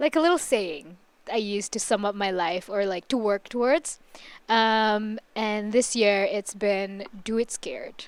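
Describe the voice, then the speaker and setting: A woman's fairly high-pitched, normal speaking voice at a fairly slow pace, with ordinary pitch variation. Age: 20s. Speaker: podcast co-host. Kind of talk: casual chat.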